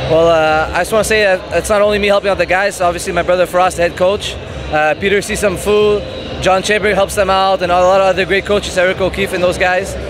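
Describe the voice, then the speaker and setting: A man talks at a very fast pace in a high pitch, with monotone, flat intonation and very even loudness. The sound is dry with no echo, though noticeable background noise is present. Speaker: interviewee. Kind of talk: interview answer. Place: hall. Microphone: handheld.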